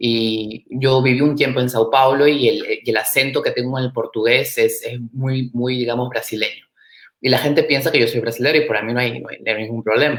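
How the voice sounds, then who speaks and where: The man talks at a fairly quick pace with a medium pitch. His intonation stays fairly even. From Peru. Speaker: startup and innovation expert. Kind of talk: interview. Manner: hesitant, many fillers.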